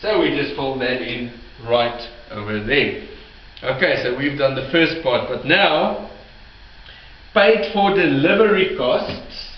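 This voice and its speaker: Amid noticeable background noise and audible room echo, a man with a fairly high pitch talks at a very slow pace, his pitch swinging very widely and his speech broken by long, frequent pauses. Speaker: bookkeeping tutor. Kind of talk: tutorial. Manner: halting, self-correcting.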